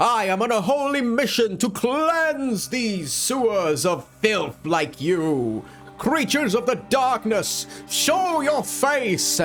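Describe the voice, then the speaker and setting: A man uses a put-on character voice pitched high and speaks very slowly. Clear music plays in the background. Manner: melodramatic, heroic, zealous; commanding, declaring.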